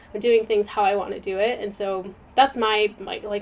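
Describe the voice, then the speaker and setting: A woman speaks at a medium pitch and a moderate pace. Background noise is noticeable. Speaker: lifestyle YouTuber. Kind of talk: casual chat. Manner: animated.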